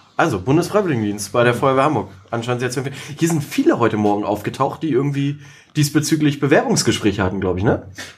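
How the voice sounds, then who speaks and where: Somewhat breathy, a man of medium pitch races along at a very fast pace with lively intonation. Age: 30s. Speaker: podcast host. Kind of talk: podcast interview. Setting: on location at fire station, plexiglass screens.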